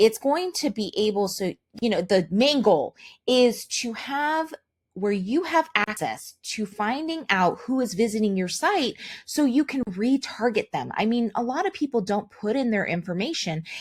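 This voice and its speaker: A woman talks at a moderate pace in a fairly high, somewhat breathy voice. Her pitch swings very widely. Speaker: online marketer. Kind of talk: product demo.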